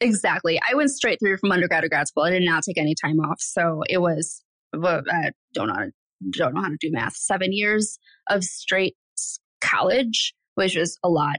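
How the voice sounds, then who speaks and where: This woman has an ordinary speaking voice with an American accent, a fairly low pitch and lively intonation. She talks at a moderate pace, and the sound is dry and close with no echo. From Michigan, US Midwest. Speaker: agency owner and developer. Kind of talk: interview.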